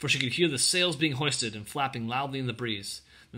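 Natural-voiced reading aloud with normal rises and falls in pitch

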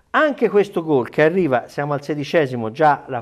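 An ordinary speaking voice from a man at a fairly quick pace, with ordinary pitch variation and a quiet background. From Italy. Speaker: sports journalist. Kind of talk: casual chat. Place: studio. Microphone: lapel.

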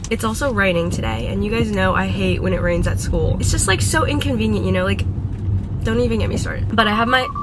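A woman at a very fast pace amid loud background noise. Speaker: student vlogger. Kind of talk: casual vlog chat. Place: car. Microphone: phone near.

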